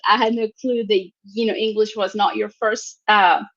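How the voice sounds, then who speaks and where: A woman with a Mexican accent, her pitch fairly high, at a moderate pace. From Mexico. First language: Spanish. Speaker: talk show host. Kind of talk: interview.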